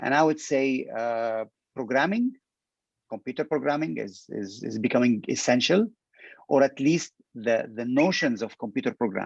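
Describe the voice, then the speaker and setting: A man speaks at medium pitch and a moderate pace, with ordinary pitch variation. The sound is dry and close, with no echo. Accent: Arabic. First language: Arabic. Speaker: petroleum industry expert. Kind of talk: interview. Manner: halting, many fillers and repetitions.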